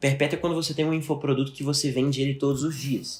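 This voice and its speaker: Over music in the background, a man with a fairly high pitch speaks at a fairly quick pace. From Belo Horizonte, Brazil. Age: 20s. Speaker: digital marketing entrepreneur. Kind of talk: podcast interview.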